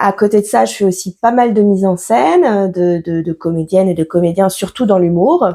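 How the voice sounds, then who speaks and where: A woman speaks at a moderate pace with hardly any pauses, her medium-pitched voice dark and mellow in tone, with ordinary pitch variation. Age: 40s. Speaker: comedy school director and stage director. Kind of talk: podcast interview.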